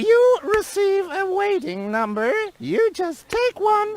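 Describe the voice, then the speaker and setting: A woman puts on a character voice with an extremely high pitch, lively intonation and a fairly slow pace. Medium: video game. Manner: prim, gossipy, finishes sister's sentences.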